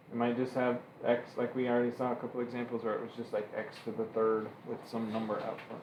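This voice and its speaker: With audible room echo and noticeable background noise, a man talks at a very fast pace in a monotone, flat intonation. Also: medium pitch for a man. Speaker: math teacher. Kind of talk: classroom lecture.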